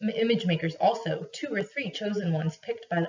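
Here is someone reading aloud in a natural voice. The reading is in that same natural voice throughout.

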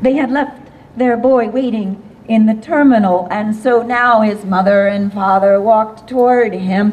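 Over light background noise, a woman with an American accent speaks at a fairly slow pace with lively intonation. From US Midwest. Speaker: storyteller. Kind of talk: storytelling performance. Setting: outdoor event with audience. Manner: animated. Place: street. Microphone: camera far.

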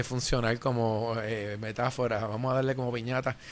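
Here a man is speaking. His pace is moderate. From Puerto Rico. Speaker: tech show host. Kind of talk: live tech talk show. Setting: radio/TV studio. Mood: joking, playful. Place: studio. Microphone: studio mic.

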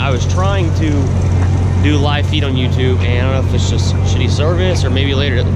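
Loud background noise surrounds a man speaking at a moderate pace, and the sound is dry with no echo. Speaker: vlogger. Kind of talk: casual vlog chat. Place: open country. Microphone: phone near.

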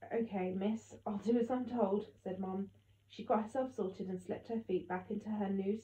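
With fairly even intonation, the clip presents an unforced reading voice.

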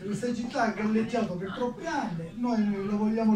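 A man speaks with audible room echo. Light background noise sits behind him. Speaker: speaker. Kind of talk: political speech. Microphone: handheld.

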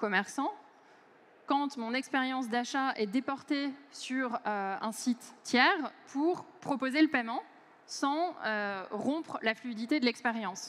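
A woman speaks slowly at a fairly high pitch with ordinary pitch variation. Her tone is fairly bright.

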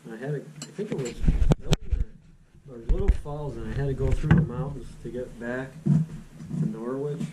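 Loud background noise surrounds this recording. A man speaks at a fairly slow pace. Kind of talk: casual storytelling at a meal. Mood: relaxed, amused. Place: home room. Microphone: camera far.

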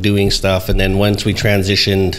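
Light background noise sits behind a man speaking at a moderate pace and a fairly low pitch. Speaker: podcast host telling shop history. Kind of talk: casual podcast conversation. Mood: relaxed, amused. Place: studio. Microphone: studio mic.

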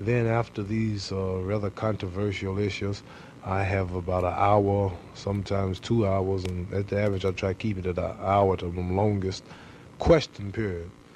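Over light background noise, a man speaks at a moderate pace in a monotone, flat intonation. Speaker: interviewee. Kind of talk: interview answer. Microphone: old recording.

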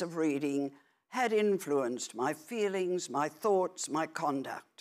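A woman with a fairly low pitch speaks at a very slow pace. Her intonation is lively, and the background is quiet. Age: 80s+. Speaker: author; speaker. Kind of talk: prepared speech. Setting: stage with audience. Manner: formal. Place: stage. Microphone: lapel.

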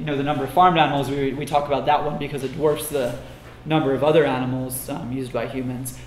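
A man talks very fast with fairly even intonation, against audible room echo and light background noise. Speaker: conference speaker. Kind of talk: lecture. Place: classroom.

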